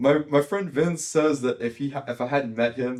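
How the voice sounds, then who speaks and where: A man speaks with an American accent at a moderate pace. He has an ordinary speaking voice with ordinary pitch variation. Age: young. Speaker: podcast host. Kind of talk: podcast interview. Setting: podcast studio.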